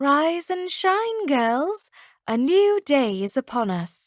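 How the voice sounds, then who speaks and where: A woman in a put-on character voice speaks very slowly at a high pitch, with very wide pitch swings. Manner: trilling, cheerful.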